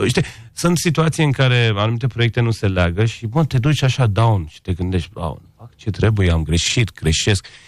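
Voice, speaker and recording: This man's voice has a medium pitch, lively intonation and a non-native accent. His loudness swings widely. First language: not Romanian (speaking Romanian). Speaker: architect and interior designer. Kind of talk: radio interview.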